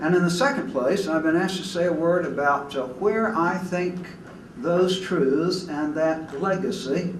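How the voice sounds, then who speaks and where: A very slow-paced man at a high pitch with ordinary pitch variation, audible room echo and noticeable background noise. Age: 80s+. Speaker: retired Methodist preacher, keynote speaker. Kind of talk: keynote speech.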